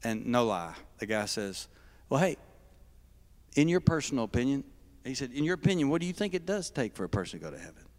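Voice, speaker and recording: Very clean and silent in the background, the recording has a man with a Kentucky accent and a medium pitch. He speaks at a very fast pace with very wide pitch swings. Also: big swings in loudness. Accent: Southern US (Kentucky). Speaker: denominational mission leader. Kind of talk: sermon-style talk to seminary students.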